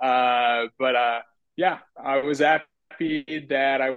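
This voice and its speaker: A man with an Italian accent talks with ordinary pitch variation. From Italy. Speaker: TV personality and model. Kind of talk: casual interview chat.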